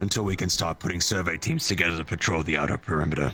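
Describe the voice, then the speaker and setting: A man's raspy put-on character voice, very deep and low, at a very fast pace over clear music in the background. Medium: game stream. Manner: brisk, commanding.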